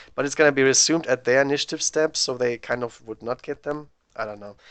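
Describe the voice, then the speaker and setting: With a German accent, a man speaks very fast at a medium pitch with ordinary pitch variation, the sound dry and close with no echo over a quiet background. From Germany. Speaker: tabletop wargame streamer. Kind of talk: live game commentary. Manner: casual thinking-aloud.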